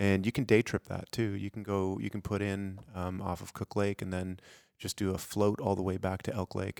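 A fairly low-pitched man in a monotone, flat delivery, captured in a very clean recording with a silent background. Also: moderate pace. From Denmark. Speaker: wilderness outfitter and lodge owner. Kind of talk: casual chat. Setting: studio.

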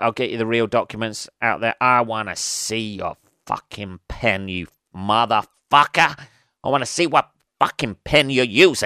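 A man puts on a character voice in a medium pitch at a moderate pace, captured in a very clean recording with a silent background. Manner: aggressive, demanding.

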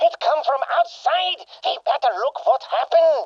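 Pitched extremely high, the voice moves at a moderate pace. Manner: menacing, vengeful.

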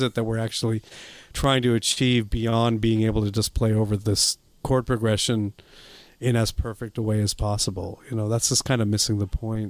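A man with an American accent talks in a normal speaking voice at a medium pitch and a fairly quick pace. His intonation is fairly even, on a very clean recording with a silent background. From US. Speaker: jazz saxophonist. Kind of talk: interview.

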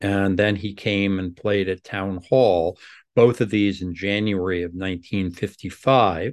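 Against a quiet background, a man with a normal speaking voice talks at a fairly slow pace, his fairly low pitch held in fairly even intonation. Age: 60s. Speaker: music critic and professor. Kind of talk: casual interview conversation.

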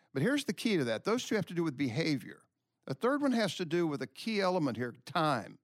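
Very fast and high-pitched for a man, this voice swings very widely in pitch. The recording is very clean with a silent background and a dry, close sound with no echo. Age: 70s. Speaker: former pro baseball player. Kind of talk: casual chat. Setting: studio.

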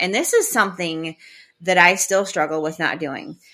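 Her tone bright and sharp, a woman with an American accent speaks at a moderate pace. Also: very clean recording, silent background. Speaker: podcaster. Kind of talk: casual chat; poem performed aloud, reading a teenage diary poem.

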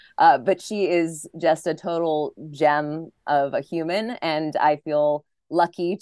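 A woman speaks in a plain, everyday voice with a fairly low pitch. Her intonation stays fairly even. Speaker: tennis announcer and interviewer. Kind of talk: casual interview chat.

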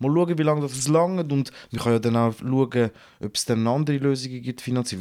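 This voice has a dark, mellow tone and lively intonation at a fairly quick pace. The recording is very clean, with a silent background. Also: man. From Switzerland, St. Gallen region. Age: 30s. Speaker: rapper and TV host. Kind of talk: casual chat.

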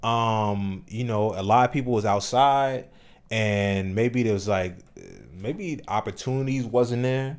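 A man talks at a fairly slow pace in a medium pitch, his pitch varying in an ordinary way. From New Jersey, Trenton area. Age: 30s. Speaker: comedian. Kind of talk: casual chat.

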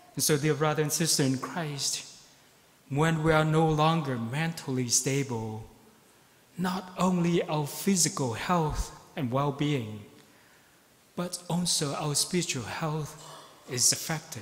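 Audible room echo surrounds a man with a fairly high pitch and ordinary pitch variation. He talks at a fairly slow pace with long, frequent pauses. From Vietnam (Saigon). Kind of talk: sermon. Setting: church.

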